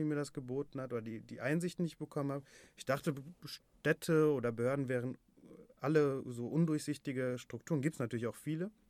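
Speaking very fast, a man with a fairly high pitch keeps his intonation fairly even in a very clean recording with a silent background. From Ruhr area, Germany (Bottrop). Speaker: head of a youth newsroom. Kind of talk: casual chat. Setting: studio.

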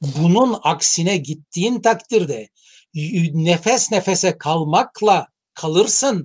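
A man speaks at a very slow pace in a high pitch. His intonation is lively. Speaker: professor of international relations. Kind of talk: interview. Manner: halting, frequent fillers.

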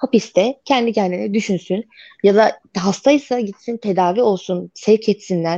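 Against a quiet background, a woman speaks at medium pitch with a dark, mellow tone. Her pace is fairly slow and her pitch variation ordinary. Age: 20s. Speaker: domestic violence survivor. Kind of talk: interview testimony. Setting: radio interview.

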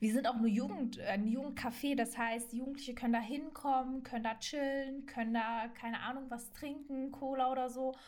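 With audible room echo, a woman speaks at a fairly quick pace and a high pitch, leaving hardly any pauses. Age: 20s. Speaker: trainee journalist and reporter. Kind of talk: casual podcast introduction. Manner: enthusiastic, youthful slang.

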